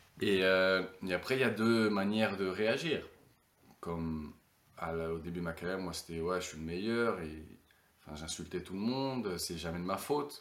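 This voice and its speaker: With audible room echo, a man with a very deep, low pitch speaks with long, frequent pauses. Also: ordinary pitch variation, moderate pace. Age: 30s. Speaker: retired professional footballer. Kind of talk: casual interview.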